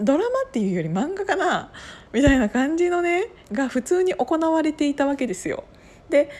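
The voice moves at a fairly quick pace and swings very widely in pitch. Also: woman. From Gunma, Kiryu. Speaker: podcaster. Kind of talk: casual monologue storytelling.

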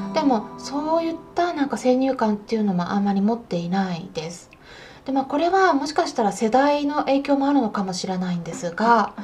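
Noticeable background noise sits behind a woman speaking fairly quickly at a high pitch, her voice making very wide pitch swings. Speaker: veterinarian podcast host. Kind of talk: casual solo talk.

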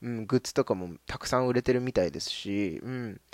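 Over a very clean recording with a silent background, a man talks at a fairly quick pace with lively intonation. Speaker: anime podcast host. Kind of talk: solo casual radio talk. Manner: fast.

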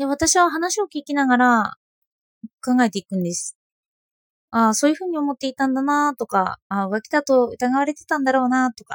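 A woman speaks fast-ish at a high pitch, with lively intonation and big swings in loudness. The sound is dry and close, with no echo. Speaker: philosophy blogger and podcaster. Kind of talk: personal monologue podcast. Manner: hesitant, many fillers.

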